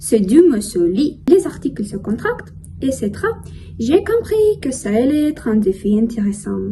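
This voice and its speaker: There is noticeable background noise as a woman speaks. She has a Russian accent and a fairly slow pace. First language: Russian (speaking French). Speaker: language learner vlogger. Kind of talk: casual monologue vlog. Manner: careful, learner-paced.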